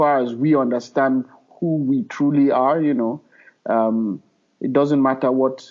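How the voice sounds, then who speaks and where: A man with a Nigerian accent talks at a very slow pace, his medium pitch held in fairly even intonation. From Nigeria, Middle Belt (Plateau State). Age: 30s. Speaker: filmmaker. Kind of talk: podcast interview. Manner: hesitant, many fillers.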